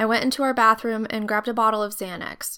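A woman's unremarkable speaking voice with an American accent, fairly high in pitch and with fairly even intonation. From US, Idaho. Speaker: podcaster sharing survivor story. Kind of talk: personal storytelling.

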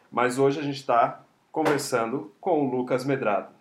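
A man speaks with fairly even intonation. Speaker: podcast host. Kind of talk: interview. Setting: guest's home. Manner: stammering.

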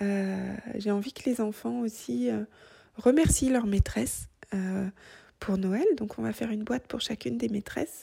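Somewhat breathy, with a dark, mellow tone, a woman at a medium pitch makes very wide pitch swings as she talks at a fairly slow pace with long, frequent pauses. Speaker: knitting podcaster. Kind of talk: casual monologue. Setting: at home. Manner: hesitant, many fillers.

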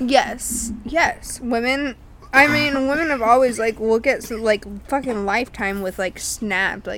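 Noticeable background noise behind a high-pitched woman, speaking at a fairly slow pace with ordinary pitch variation. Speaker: podcast co-host. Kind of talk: casual chat. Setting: outdoors in backyard.

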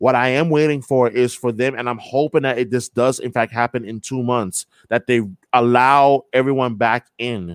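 In a very clean recording with a silent background and a dry, close sound with no echo, a man with a normal speaking voice talks at a medium pitch and a moderate pace with fairly even intonation. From New York. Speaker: sports radio host. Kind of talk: casual interview.

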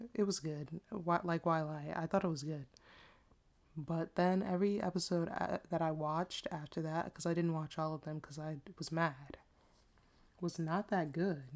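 With an American accent, a woman speaks at a moderate pace in a fairly low pitch and fairly even intonation. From Washington DC area, US. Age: 20s. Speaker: podcast host. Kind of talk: casual solo monologue. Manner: casual, chatty, self-deprecating.

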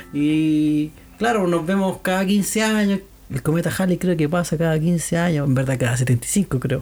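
This man shows ordinary pitch variation and talks at a fairly slow pace. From Chile, Santiago. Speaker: podcast host. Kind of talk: casual chat.

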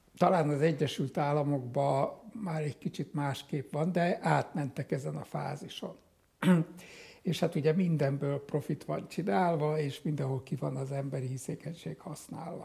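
A man's somewhat breathy voice, dark and mellow in tone, fairly high in pitch, with ordinary pitch variation at a moderate pace. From Hungary. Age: 80s+. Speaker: psychiatrist and psychotherapist. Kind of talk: interview.

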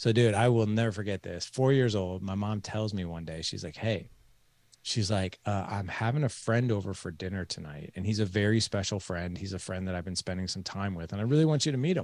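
A man with a plain, everyday voice speaks at a fairly quick pace and fairly low pitch in a very clean recording with a silent background. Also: ordinary pitch variation. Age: 40s. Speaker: fatherhood podcast host and coach, guest. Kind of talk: interview, personal storytelling.

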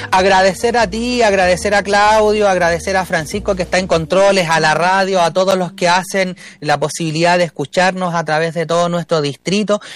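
At a fairly quick pace with hardly any pauses, a man with a high pitch speaks at a very even loudness with fairly even intonation. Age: 30s. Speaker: political candidate, social worker. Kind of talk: radio interview.

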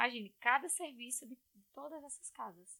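Her tone is bright and sharp. The woman's voice sounds dry and close, with no echo. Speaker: civil engineer. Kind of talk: casual chat.

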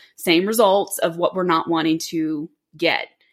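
At a moderate pace, a woman with an ordinary speaking voice talks in a fairly low pitch with fairly even intonation. The recording is very clean, with a silent background. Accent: American. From Florida (Orlando). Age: 30s. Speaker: dental assistant and aspiring pilot. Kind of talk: casual interview. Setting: living room.

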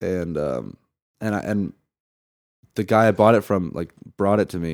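A man with an American accent and a very deep, low pitch speaks at a moderate pace with lively intonation, in a dry, close sound with no echo. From California, Santa Barbara. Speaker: stand-up comedian. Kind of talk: casual interview chat.

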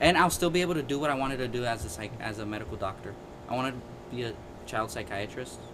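A man with a medium-pitched voice talks very fast with lively intonation, over noticeable background noise and audible room echo. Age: 20s. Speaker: podcast co-host, student. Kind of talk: casual chat.

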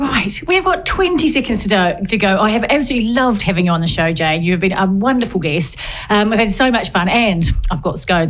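A woman with a New Zealand accent, very fast and lively in intonation, over noticeable background noise. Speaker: podcast host. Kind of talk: casual interview chat. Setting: studio. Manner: animated.

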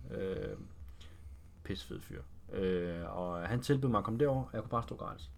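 Amid audible room echo, a man with a very deep, low pitch talks at a fairly slow pace, his pitch swinging very widely. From Denmark, Roskilde (Zealand). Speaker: fitness trainer, former footballer. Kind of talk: casual interview.

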